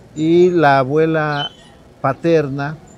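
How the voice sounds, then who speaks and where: Fairly even intonation marks a man's speech, which comes through noticeable background noise. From Mexico, Sierra Norte de Puebla. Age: 60s. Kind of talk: interview testimony. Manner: halting, with fillers.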